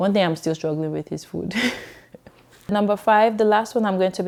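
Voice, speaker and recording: A woman with a Nigerian accent speaks in a dark, mellow tone. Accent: Nigerian, kept on purpose. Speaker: YouTuber, immigrant. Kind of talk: casual vlog talk to camera. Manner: animated, many repetitions and fillers.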